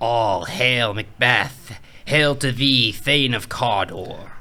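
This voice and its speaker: At a very slow pace, a man with a medium pitch does a put-on character voice. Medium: game stream.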